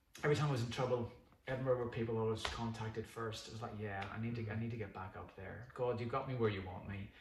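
In audible room echo, a somewhat breathy man with a Northern Irish accent and a medium pitch speaks at a very fast pace with fairly even intonation. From Northern Ireland. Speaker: pastor. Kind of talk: casual chat.

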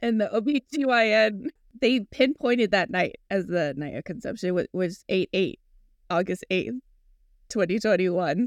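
In an unremarkable speaking voice, a woman of medium pitch talks at a moderate pace with lively intonation, the sound dry and close with no echo. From US, Filipino American. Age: 40s. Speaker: podcast host. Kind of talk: casual interview chat.

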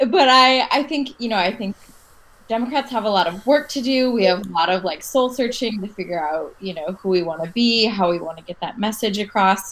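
A woman's fairly high voice with an American accent, lively intonation and a fairly quick pace, over noticeable background noise. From Michigan. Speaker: lawyer. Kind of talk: casual chat.

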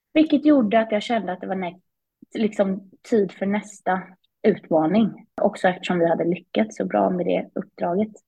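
A woman speaks at a moderate pace in a medium pitch, with vocal fry. Her pitch varies in an ordinary way. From Sweden, Småland (Vimmerby). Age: 20s. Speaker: business executive, former CEO. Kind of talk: casual interview.

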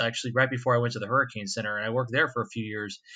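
Here a man speaks in an American accent with a bright, sharp tone. The background is quiet. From west coast of Florida. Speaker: hurricane forecaster. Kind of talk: interview.

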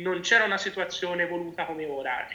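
A man talks in a raised, projected voice. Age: 20s. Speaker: patient advocate. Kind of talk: interview.

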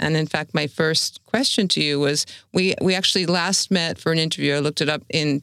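Speaking at a moderate pace, a woman with a very deep, low pitch uses lively intonation. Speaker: arts editor interviewer. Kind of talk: interview questions.

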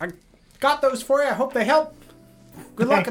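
Over faint music in the background, a man uses a put-on character voice at a moderate pace. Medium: actual play. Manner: gruff.

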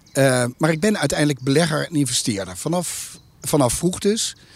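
A man talks with lively intonation. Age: 50s. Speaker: investment company CEO. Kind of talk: interview. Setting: outdoors in a garden. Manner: hesitant with frequent fillers.

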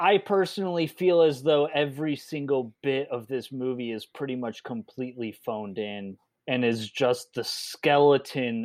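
A man with a normal speaking voice and an American accent speaks at a fairly slow pace and medium pitch, with ordinary pitch variation. The very clean recording has a silent background and a dry, close sound with no echo. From northern US. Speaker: podcast co-host. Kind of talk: casual chat.

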